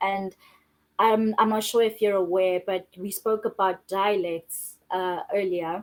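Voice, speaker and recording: A woman with a Zulu accent at a medium pitch, on a very clean recording with a silent background. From South Africa, Johannesburg. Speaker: filmmaker and screenwriter. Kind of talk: interview.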